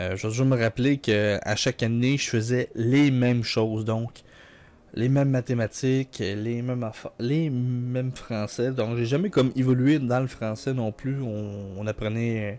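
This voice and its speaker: At a fairly slow pace, a man talks with medium pitch and fairly even intonation. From Quebec. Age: 20s. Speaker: gaming YouTuber. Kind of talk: let's play commentary. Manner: casual, hesitant with many fillers.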